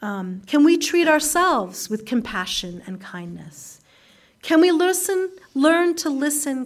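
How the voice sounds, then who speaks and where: Her high pitch moves in very wide swings as the woman speaks at a fairly slow pace, with audible room echo around her. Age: 50s. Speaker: guest preacher at a Unitarian Universalist congregation. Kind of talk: sermon. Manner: conversational with frequent fillers.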